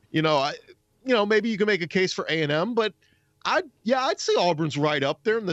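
Over a quiet background, a man speaks with lively intonation in a dry, close sound with no echo. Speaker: college sports podcaster. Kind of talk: casual chat. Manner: animated, excitable.

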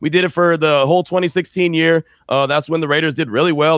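A man with an American accent talks in an ordinary speaking voice at a fairly quick pace with ordinary pitch variation, on a very clean, dry, close recording with no echo and a silent background. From San Francisco Bay Area, California. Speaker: sports radio and podcast host. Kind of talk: interview.

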